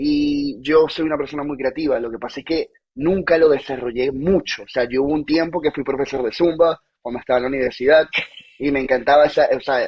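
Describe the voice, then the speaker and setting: At a fairly quick pace, a man speaks in a normal speaking voice with fairly high pitch and fairly even intonation. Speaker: podcast host, engineer. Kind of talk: casual podcast conversation.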